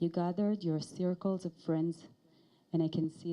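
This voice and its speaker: A woman speaks with an Israeli accent in a fairly low voice. Her tone is dark and mellow. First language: Hebrew. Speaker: director of education and research. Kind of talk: ceremony speech.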